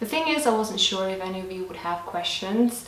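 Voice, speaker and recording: Amid noticeable background noise and audible room echo, a woman speaks at a moderate pace in a medium pitch. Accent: Lithuanian. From Lithuania. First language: Lithuanian. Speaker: lifestyle vlogger. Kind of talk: casual Q&A vlog.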